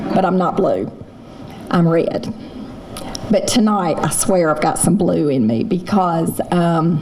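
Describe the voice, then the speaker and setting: Speaking very slowly with long, frequent pauses, this voice has a Southern US accent, lively intonation and very even loudness, recorded with noticeable background noise and audible room echo. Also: woman, fairly low pitch for a woman. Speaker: roast honoree, local businesswoman. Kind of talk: thank-you speech. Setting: stage with audience.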